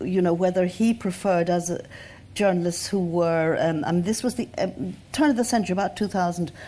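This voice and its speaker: Fairly quick speech in an Irish accent, with ordinary pitch variation and very even loudness. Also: woman, medium pitch for a woman. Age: 70s. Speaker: journalist and writer. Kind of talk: panel discussion. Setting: stage with audience.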